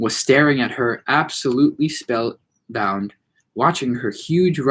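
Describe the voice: The background stays quiet. Someone does plain reading aloud.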